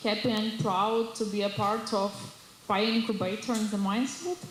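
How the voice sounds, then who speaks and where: Against noticeable background noise and audible room echo, a woman talks at a moderate pace in a fairly high voice with fairly even intonation. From Ukraine. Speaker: neuroscientist and startup presenter. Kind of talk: presentation. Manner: halting.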